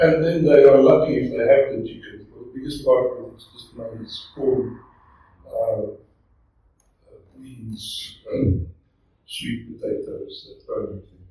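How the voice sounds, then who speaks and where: A man with a South African accent at a fairly slow pace, with big swings in loudness and long, frequent pauses. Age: 70s. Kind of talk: talk at a men's breakfast, answering questions.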